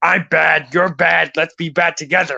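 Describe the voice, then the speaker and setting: A man puts on a character voice pitched high for a man. The sound is raspy. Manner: mischievous.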